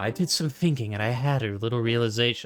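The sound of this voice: A soft-spoken, breathy put-on character voice from a man, medium in pitch, at a very fast pace.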